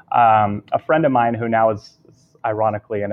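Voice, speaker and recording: A man's fairly low voice with a West Coast American accent over music in the background. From Southern California. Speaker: video storytelling business founder. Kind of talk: interview.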